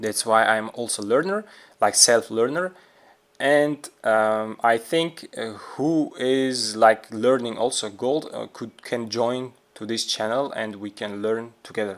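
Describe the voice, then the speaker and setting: In a very clean recording with a silent background, the speaker talks fairly slowly with a non-native accent and ordinary pitch variation. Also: man, medium pitch for a man. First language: not English. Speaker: trading video creator. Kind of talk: tutorial. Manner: halting, many fillers.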